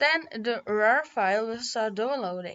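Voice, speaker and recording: With a non-native accent, a woman speaks in a high pitch with ordinary pitch variation. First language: not English. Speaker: tech tutorial youtuber. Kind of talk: tutorial. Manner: halting.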